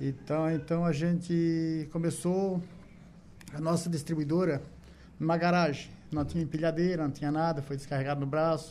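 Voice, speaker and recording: At a fairly quick pace, a man speaks with a dark, mellow tone and a fairly high pitch. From southern Brazil, Santa Catarina. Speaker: business owner. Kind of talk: radio interview. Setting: studio.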